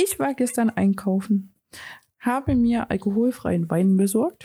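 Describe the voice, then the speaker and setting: A woman speaks in a dark, mellow tone that is somewhat breathy, her pitch varying in an ordinary way. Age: 30s. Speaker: podcast co-host. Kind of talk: casual chat.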